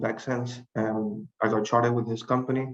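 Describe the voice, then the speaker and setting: A man with a non-native accent speaks with monotone, flat intonation. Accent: foreign. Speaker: board candidate, civil engineer. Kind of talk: candidate speech at panel.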